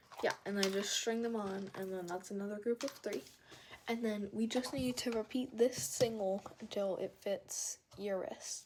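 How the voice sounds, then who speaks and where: Over noticeable background noise, a woman talks fairly slowly at a medium pitch with ordinary pitch variation. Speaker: craft tutorial maker. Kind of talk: tutorial. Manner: casual, filler-heavy.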